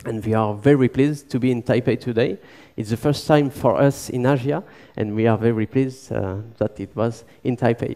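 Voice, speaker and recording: A man talks at a fairly quick pace with a French accent. His voice has a medium pitch. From southern France. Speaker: violinist and engineer. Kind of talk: conference talk.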